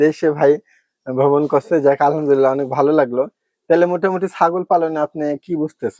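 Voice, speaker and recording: Fairly even intonation and a dark, mellow tone in a dry, close sound with no echo. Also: man, fairly high pitch for a man. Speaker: livestock farm vlogger. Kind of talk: farm tour presentation.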